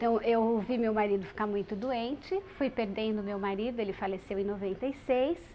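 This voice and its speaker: A woman with a plain, everyday voice speaks at a moderate pace, her fairly high pitch moving with ordinary variation. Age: 40s. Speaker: radio presenter living with HIV. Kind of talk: testimony.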